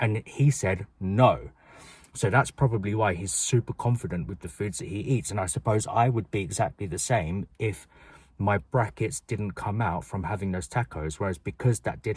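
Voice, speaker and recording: A man with a British accent speaks in a fairly low voice with ordinary pitch variation. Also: very clean recording, silent background. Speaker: vlogger. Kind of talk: personal vlog talk to camera. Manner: fast; loud, projected.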